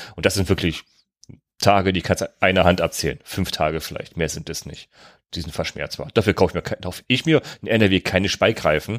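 On a very clean recording with a silent background and a dry, close sound with no echo, a man speaks fairly quickly with a very deep, low pitch and ordinary pitch variation. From Germany, North Rhine-Westphalia. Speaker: podcast host. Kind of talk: casual chat.

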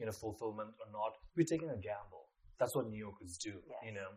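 A somewhat breathy man's voice at a fairly low pitch. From Nepal. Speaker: fashion designer. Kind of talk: interview conversation. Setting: face to face.

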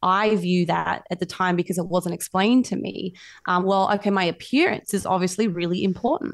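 At a fairly quick pace, a woman with an Australian accent speaks in a medium pitch with fairly even intonation. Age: 30s. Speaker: fitness coach. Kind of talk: interview.

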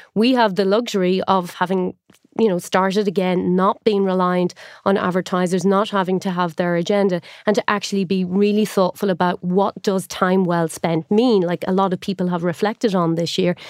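Irish accent with monotone, flat intonation, very even loudness and a moderate pace, in a dry, close sound with no echo, a very clean recording and a silent background. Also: woman, medium pitch for a woman. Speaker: journalist turned tech entrepreneur. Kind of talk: interview conversation.

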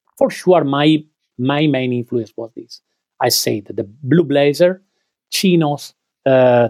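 Very slowly, a man talks with an Italian accent and a dark, mellow tone. His pitch varies in an ordinary way, and the sound is dry and close with no echo. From Italy, Veneto (Treviso hills). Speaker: clothing designer, brand co-founder. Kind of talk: interview. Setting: remote call. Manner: halting.

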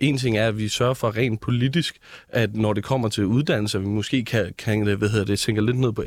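This man has a plain, everyday voice at a medium pitch with ordinary pitch variation. He talks at a moderate pace on a very clean recording with a silent background. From Hellerup, Copenhagen area. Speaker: youth politician, student. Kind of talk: political debate.

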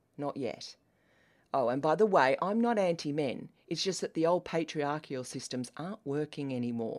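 A woman speaks with a very deep, low pitch and a dark, mellow tone, her intonation lively. She keeps a moderate pace, and the recording is very clean with a silent background. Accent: Australian. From Australia. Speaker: podcast host, business coach for women. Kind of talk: solo podcast monologue, partly reading an email aloud. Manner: passionate, emphatic.

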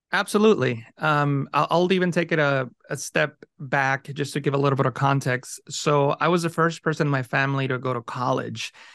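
A man talks at a fairly quick pace with hardly any pauses. His pitch is fairly high, with ordinary pitch variation. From Mexico, raised in California from age ten. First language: Spanish. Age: 40s. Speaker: Photoshop educator and YouTube creator. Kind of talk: interview conversation.

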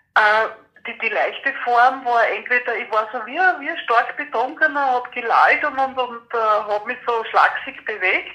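A woman talks at a moderate pace with a high pitch and ordinary pitch variation. There is noticeable background noise. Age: 50s. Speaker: person with PTSD sharing experience. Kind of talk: interview testimony. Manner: halting.

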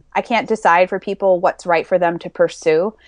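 A woman with an ordinary speaking voice talks at a medium pitch and a fairly quick pace with ordinary pitch variation, the sound dry and close with no echo against a quiet background. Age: 30s. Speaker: fitness author and athlete. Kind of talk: casual interview.

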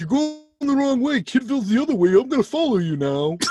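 In a put-on character voice pitched fairly high, someone speaks at a fairly quick pace while faint music plays in the background. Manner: imitating the character's voice.

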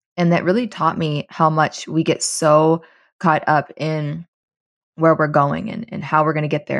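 A woman with a very deep, low pitch speaks at a moderate pace and with fairly even intonation over a quiet background. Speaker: wellness and money coach. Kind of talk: casual interview conversation.

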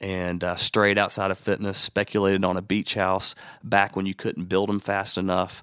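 Monotone, flat intonation runs at a moderate pace. The recording is very clean, with a silent background. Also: man, fairly low pitch for a man. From Alabama, Birmingham. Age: 40s. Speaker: fitness franchise founder. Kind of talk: interview.

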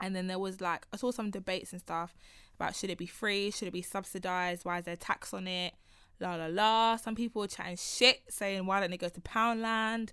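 A bright, sharp tone with a London accent moves at a fairly quick pace and fairly even intonation, recorded very cleanly over a silent background. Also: woman, medium pitch for a woman. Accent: London Multicultural English. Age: 20s. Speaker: podcast host. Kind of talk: casual chat.

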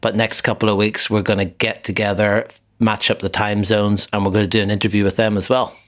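A man talks in a fairly low, flat monotone. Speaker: podcast co-host, jazz bar photographer. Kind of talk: casual chat. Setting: home kitchen, remote recording. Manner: quieter than usual.

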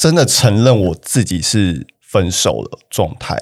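A man's fairly low voice, very slow in pace, with lively intonation. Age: 30s. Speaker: podcast guest. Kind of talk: casual chat.

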